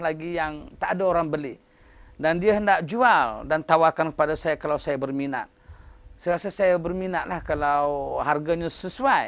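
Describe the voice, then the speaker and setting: A man talks at a fairly slow pace in a high pitch. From Malaysia. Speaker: professor. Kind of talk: interview. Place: office. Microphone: lapel.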